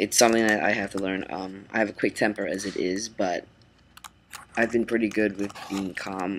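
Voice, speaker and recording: A man speaks in a monotone with flat intonation. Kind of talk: casual vlog. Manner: halting, many ums.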